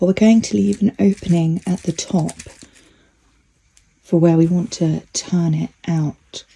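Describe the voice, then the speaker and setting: Somewhat breathy and fairly low-pitched, a woman speaks with long, frequent pauses. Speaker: sewing youtuber. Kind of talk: tutorial. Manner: soft-spoken.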